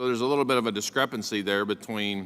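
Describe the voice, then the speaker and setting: Man with an Oklahoma accent, fairly low pitch, bright, sharp tone, fairly even intonation and moderate pace. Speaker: congressman. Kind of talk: congressional hearing questioning. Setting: committee hearing room.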